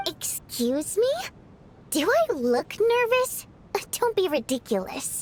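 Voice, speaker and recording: A woman puts on a character voice at an extremely high pitch with very wide pitch swings. She goes at a fairly slow pace with long, frequent pauses. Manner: defensive, denying nervousness.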